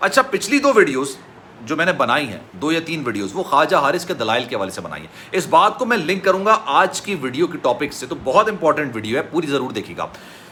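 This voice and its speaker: Over noticeable background noise, a man with a fairly high pitch talks at a moderate pace, making very wide pitch swings and big swings in loudness. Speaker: YouTube news commentator. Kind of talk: news commentary. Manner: emotional.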